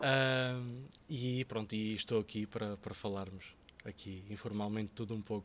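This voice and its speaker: With fairly even intonation, a man speaks at a moderate pace and a fairly low pitch. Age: 30s. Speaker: local politician. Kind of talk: podcast interview. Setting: studio. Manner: halting, many fillers and repetitions.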